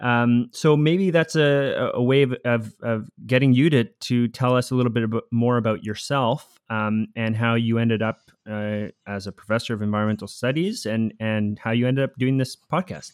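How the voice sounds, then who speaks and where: A plain, everyday voice belongs to a man with a Canadian accent who speaks at medium pitch with ordinary pitch variation and hardly any pauses, in a very clean recording with a silent background and a dry, close sound with no echo. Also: moderate pace. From Costa Rica born, raised in Canada from age eight. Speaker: podcast co-host, university researcher. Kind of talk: podcast introduction, conversational. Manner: fluent, conversational, some fillers.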